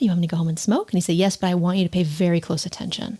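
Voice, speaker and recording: A woman's fairly low, somewhat breathy voice with a dark, mellow tone. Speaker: podcast host. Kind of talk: casual chat. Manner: fast.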